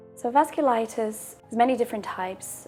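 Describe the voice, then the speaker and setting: A woman speaks over noticeable background noise. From Brazil and England, mixed. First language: Portuguese. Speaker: patient sharing her fertility story. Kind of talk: personal testimony. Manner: pauses for breath between sentences.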